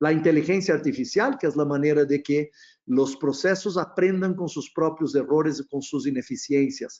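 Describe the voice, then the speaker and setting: A moderate pace and ordinary pitch variation, with a Brazilian accent. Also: man, fairly high pitch for a man. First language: Portuguese (speaking Spanish). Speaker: procurement consultant. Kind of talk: webinar presentation. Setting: online webinar. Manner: hesitant, frequent fillers.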